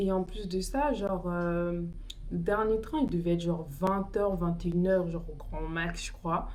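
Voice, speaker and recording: A woman talks at a fairly slow pace with ordinary pitch variation. Room echo can be heard. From Paris region, France. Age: 20s. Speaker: beauty vlogger. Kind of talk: casual storytime chat while doing makeup. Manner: animated, casual slang.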